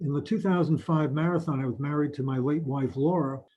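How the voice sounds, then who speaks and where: A man with a New York accent, fairly high in pitch, somewhat breathy, with fairly even intonation. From New York, Mount Vernon. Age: 80s+. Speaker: retired marathon runner. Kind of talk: personal storytelling interview.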